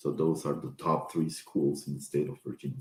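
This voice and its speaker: With a Spanish accent, a man speaks in a very deep, low voice with ordinary pitch variation. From Peru. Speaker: professor. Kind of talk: informational talk. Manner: halting.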